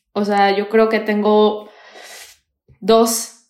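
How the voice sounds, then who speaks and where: Audible room echo follows a woman whose voice sits fairly high in pitch. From Mexico, Toluca. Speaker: content creator, Mexican living abroad. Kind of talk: casual chat. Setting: video call.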